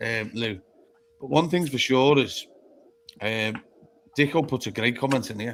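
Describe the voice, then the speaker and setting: The speaker, with a Liverpool accent, talks at a moderate pace with ordinary pitch variation. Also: man. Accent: Scouse. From Liverpool, England (born in Zimbabwe). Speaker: football podcast host. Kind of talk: live football podcast discussion. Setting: live stream.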